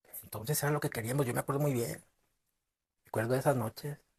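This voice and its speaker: Here a man speaks with a northern Mexican accent. His voice is somewhat breathy, with ordinary pitch variation. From northern Mexico. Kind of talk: short story reading. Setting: amateur home recording. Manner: expressive, in character.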